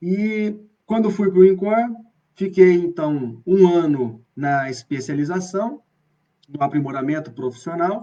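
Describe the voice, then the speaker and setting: With an interior São Paulo accent, a man with a high, dark, mellow voice speaks at a very slow pace with lively intonation. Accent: interior São Paulo accent (caipira). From Brazil, Bauru, interior of São Paulo state. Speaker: professor of physical education. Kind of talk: online lecture (live stream). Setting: live video stream.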